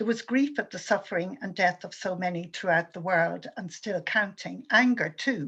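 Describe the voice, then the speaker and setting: With an Irish accent and a bright, sharp tone, a woman speaks at medium pitch and a moderate pace, with hardly any pauses and big swings in loudness, over a quiet background. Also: ordinary pitch variation. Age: 70s. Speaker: activist speaker. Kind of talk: prepared talk.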